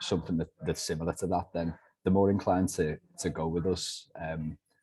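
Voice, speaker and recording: A man speaks with a Liverpool accent in a very deep, low voice. His tone is dark and mellow, his intonation flat and monotone. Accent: soft Liverpool (Scouse). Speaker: letting agency director. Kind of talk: business interview.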